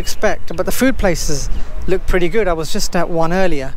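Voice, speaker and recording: At a fairly quick pace, a man speaks in a dry sound with no echo over light background noise. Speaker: travel vlogger. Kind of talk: casual vlog chat. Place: street. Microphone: phone near.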